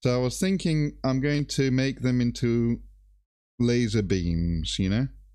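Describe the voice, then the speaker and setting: In a British accent, a man speaks very slowly at a medium pitch with a dark, mellow tone. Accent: quite British. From Greece. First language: Greek. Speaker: miniature painter and streamer. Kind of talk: casual chat.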